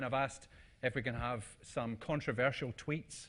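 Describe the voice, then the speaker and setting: Against a quiet background, a man with a Scottish accent speaks at a medium pitch. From Scotland. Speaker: conference speaker. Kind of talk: presentation talk. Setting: stage with audience. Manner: casual, hesitant with fillers.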